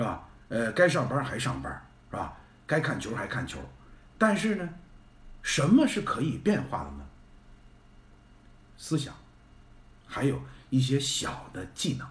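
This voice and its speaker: With audible room echo, a man talks at a fairly slow pace, leaving long, frequent pauses and swinging widely in loudness. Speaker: live streamer. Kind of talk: casual live-stream chat. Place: home room. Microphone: phone near.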